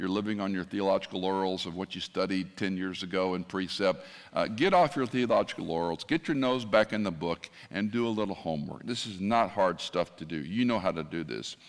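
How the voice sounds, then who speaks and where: Recorded very cleanly against a silent background, a man with a normal speaking voice talks at a fairly quick pace, his fairly low pitch carrying lively intonation. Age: 60s. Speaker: retired pastor, guest preacher. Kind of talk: sermon. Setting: church with congregation.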